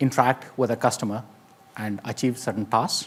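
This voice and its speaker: This man speaks with an Indian accent. His pitch is medium and varies in an ordinary way. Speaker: AI industry speaker. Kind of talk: conference talk.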